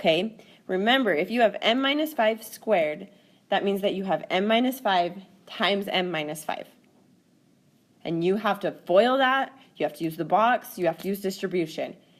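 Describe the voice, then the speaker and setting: At a moderate pace, a woman speaks with medium pitch and lively intonation in a very clean recording with a silent background. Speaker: math teacher. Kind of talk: tutorial. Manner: animated.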